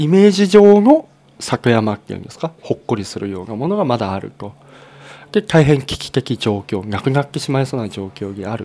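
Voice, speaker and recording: Speech in a dark, mellow tone moves at a fairly quick pace, with very wide pitch swings and big swings in loudness. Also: man, medium pitch for a man. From Japan, Fukushima, Futaba district (Hamadori). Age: 30s. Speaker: former nuclear plant engineer, nonprofit head. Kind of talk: interview.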